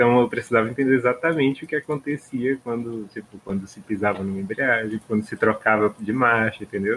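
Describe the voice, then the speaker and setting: Fairly quick and with hardly any pauses, a plain, everyday voice carries ordinary pitch variation. Its loudness swings a lot. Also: man, medium pitch for a man. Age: 30s. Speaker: podcast host. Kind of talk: casual chat.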